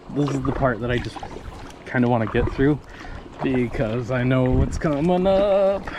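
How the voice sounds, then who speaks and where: Lively intonation at a moderate pace, with long, frequent pauses, audible room echo and noticeable background noise. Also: man, medium pitch for a man. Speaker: kayak vlogger. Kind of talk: casual vlog narration. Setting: outdoors on a river, paddling.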